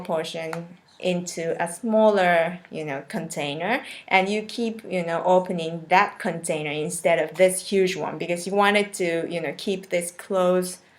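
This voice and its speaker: A woman with a Japanese accent talks at a fairly slow pace with fairly even intonation and a fairly low pitch. Noticeable background noise is present. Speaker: cooking video creator. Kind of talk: live stream casual chat. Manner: halting, many fillers.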